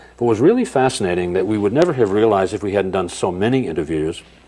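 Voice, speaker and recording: Over noticeable background noise, a man with a very deep, low pitch talks at a very fast pace. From New Hampshire, US. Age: 60s. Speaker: researcher and speaker. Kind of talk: interview conversation; demonstration.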